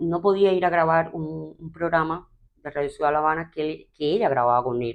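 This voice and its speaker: At a fairly quick pace, a woman speaks in a very deep, low pitch with ordinary pitch variation. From Cuba. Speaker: TV presenter, radio announcer, actress. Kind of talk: interview answer.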